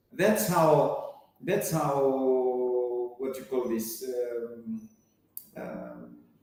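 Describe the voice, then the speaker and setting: A man's medium-pitched voice at a very slow pace, with big swings in loudness, ordinary pitch variation and audible room echo. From Fiji. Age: 60s. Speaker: app founder. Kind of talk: interview. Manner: animated.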